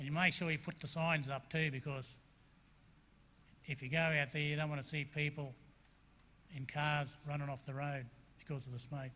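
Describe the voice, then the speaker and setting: The voice is bright and sharp, moving at a moderate pace in a flat monotone with long, frequent pauses. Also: man, fairly high pitch for a man. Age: 60s. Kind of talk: presentation to a school assembly. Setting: school assembly.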